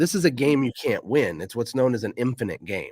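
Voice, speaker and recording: Energetic and full of very wide pitch swings, a man's voice with vocal fry comes through a very clean recording with a silent background. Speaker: entrepreneur and business coach. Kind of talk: interview. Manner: fast.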